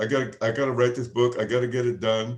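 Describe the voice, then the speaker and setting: In an American accent, a man speaks at a very fast pace. His pitch is medium and his intonation monotone and flat. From Nantucket, Massachusetts, US New England. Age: 70s. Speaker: author. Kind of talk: author talk Q&A. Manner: halting, repeats words.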